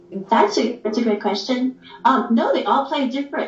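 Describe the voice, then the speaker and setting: A woman talks as noticeable background noise fills the clip. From San Francisco Peninsula, California. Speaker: saxophonist. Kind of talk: casual interview on a livestream.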